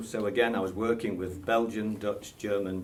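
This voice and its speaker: With an English accent, a man speaks in a fairly low, monotone voice with flat intonation at a moderate pace, and the room echo is audible. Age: 60s. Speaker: association member, army veteran. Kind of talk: radio interview. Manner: hesitant.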